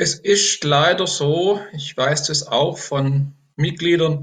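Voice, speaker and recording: Somewhat breathy and fairly high in pitch, a man talks with ordinary pitch variation. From Baden, Germany (Enzkreis near Pforzheim). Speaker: politician, retired teacher. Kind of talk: election interview. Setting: video call.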